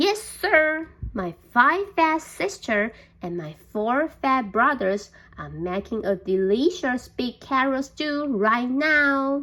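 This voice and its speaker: A woman's put-on character voice, high in pitch and very slow. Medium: read story.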